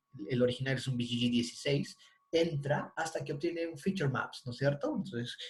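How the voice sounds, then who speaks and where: A man speaks at a moderate pace. Audible room echo can be heard. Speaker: university lecturer. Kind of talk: online lecture.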